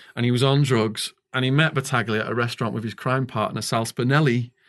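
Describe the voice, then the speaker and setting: Over a quiet background, a man talks fairly quickly at a medium pitch with ordinary pitch variation. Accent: Liverpool. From northwest England. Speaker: author and former stock trader, ex-prisoner.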